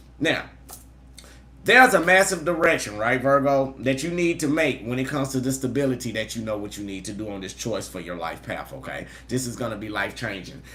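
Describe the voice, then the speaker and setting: An animated tone amid audible room echo. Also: man, medium pitch for a man, lively intonation, fairly quick pace, big swings in loudness. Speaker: tarot reader. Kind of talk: live tarot reading. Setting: livestream. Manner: fast.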